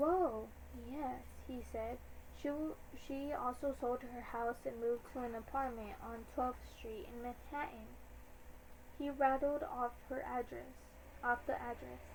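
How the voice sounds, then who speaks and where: Over noticeable background noise, a woman speaks at a fairly slow pace with long, frequent pauses. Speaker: amateur book reader on YouTube. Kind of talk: reading aloud. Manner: halting, stumbling over words.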